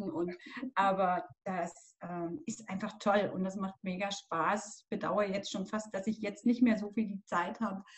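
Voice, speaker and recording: Her voice is somewhat breathy, with big swings in loudness. The woman keeps a medium pitch, fairly even intonation and a moderate pace. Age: 50s. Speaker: pilates and yoga instructor. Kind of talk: casual interview.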